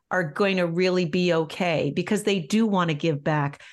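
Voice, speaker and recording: Against a quiet background, a woman with an unremarkable speaking voice speaks at a moderate pace and a medium pitch. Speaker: nonprofit leader and caregiver. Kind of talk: interview.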